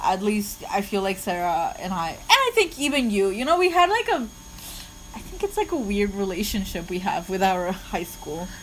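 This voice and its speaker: The talker is a woman going at a moderate pace. Noticeable background noise can be heard behind her. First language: not English. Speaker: podcast co-host. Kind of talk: casual chat. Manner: halting.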